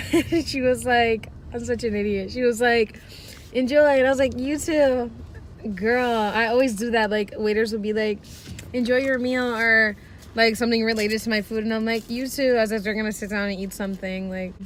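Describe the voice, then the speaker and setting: A plain, everyday voice: a woman at fairly high pitch, moderate pace and fairly even intonation. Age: 20s. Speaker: vlogger. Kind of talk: casual vlog monologue.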